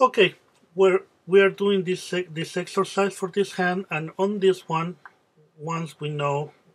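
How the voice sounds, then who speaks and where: This speaker talks with a Spanish accent. The pace is fairly slow. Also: man. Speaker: music teacher. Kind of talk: tutorial. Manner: halting, many fillers.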